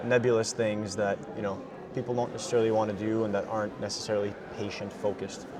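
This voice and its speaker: Amid noticeable background noise and audible room echo, a man with a fairly low pitch talks at a very fast pace in a monotone, flat voice. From Quebec, Gatineau. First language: French and Farsi. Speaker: tech startup founder. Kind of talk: interview. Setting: busy conference lounge.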